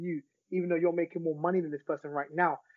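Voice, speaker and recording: A man with a London accent, high-pitched for a man, talking at a very fast pace. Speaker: celebrity barber and author. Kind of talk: interview conversation.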